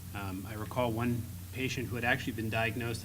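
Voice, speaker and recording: A loud man talks at a fairly quick pace in a bright, sharp voice with fairly even intonation and audible room echo. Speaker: laryngologist panelist. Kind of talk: panel discussion. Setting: conference stage with audience.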